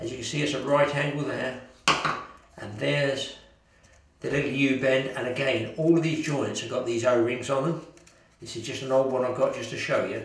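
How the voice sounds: Amid strong room echo, a man of medium pitch speaks at a moderate pace with ordinary pitch variation.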